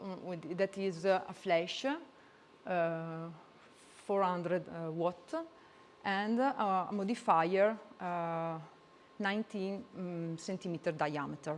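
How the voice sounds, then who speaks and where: With an Italian accent, a woman speaks at a very slow pace in a fairly low pitch, with fairly even intonation and long, frequent pauses. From Italy. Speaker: photographer. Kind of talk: presentation. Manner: halting.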